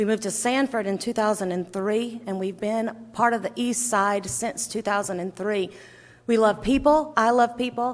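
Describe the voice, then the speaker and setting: The voice carries a Southern accent and moves at a moderate pace. Its pitch variation is ordinary. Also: woman, fairly high pitch for a woman. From US South. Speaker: legislative candidate. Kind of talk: candidate opening statement. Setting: candidates night event.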